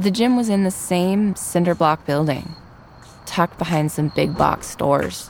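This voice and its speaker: In a plain, everyday voice, a woman with an American accent speaks fairly slowly at a fairly low pitch, with ordinary pitch variation and very even loudness. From Virginia. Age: 30s. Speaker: radio reporter. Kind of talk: narrated documentary.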